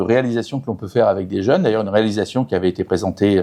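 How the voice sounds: A man speaks at a fast pace with a fairly low pitch and a dark, mellow tone.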